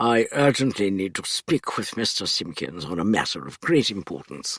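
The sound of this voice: Doing a rumbling, put-on character voice, a man at a fairly low pitch talks at a moderate pace with very wide pitch swings.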